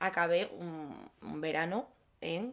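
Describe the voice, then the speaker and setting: Featuring a normal speaking voice, the pitch moves up and down in an ordinary way. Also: woman. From Asturias, Spain (Gijón). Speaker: podcast co-host. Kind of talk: casual chat.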